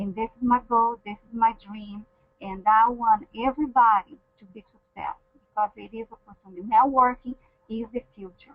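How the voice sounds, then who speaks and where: A woman with a fairly high pitch and a non-native accent speaks at a moderate pace. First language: not English. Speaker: network marketing team leader. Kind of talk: motivational testimony. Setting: webinar call. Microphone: echo on the line.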